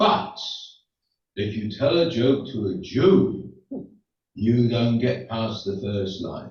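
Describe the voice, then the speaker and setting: A man's medium-pitched voice with vocal fry, lively intonation and a very slow pace, broken by long, frequent pauses, in audible room echo. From England. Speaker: rabbi. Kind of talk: stand-up. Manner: halting.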